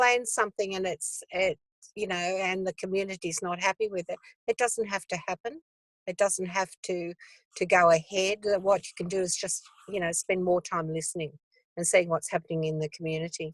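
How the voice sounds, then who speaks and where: The recording is dry and close, free of any echo. A woman talks at a moderate speed. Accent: Australian. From Australia. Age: 70s. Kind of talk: casual interview conversation. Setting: video call from a car.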